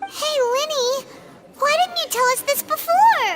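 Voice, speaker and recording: In a put-on character voice, the speaker goes fairly slowly at an extremely high, squeaky pitch, with faint music in the background. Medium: machinima. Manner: excitable, loud.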